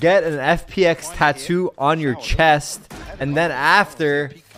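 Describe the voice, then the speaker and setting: A man speaks in a fairly high voice over noticeable background noise. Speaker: esports streamer. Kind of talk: casual chat. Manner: animated.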